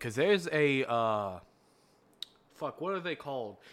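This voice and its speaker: A man's animated voice at medium pitch, with very wide pitch swings and a moderate pace. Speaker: podcast co-host. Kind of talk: casual chat. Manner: animated, laughs a lot; voice jumps higher when excited.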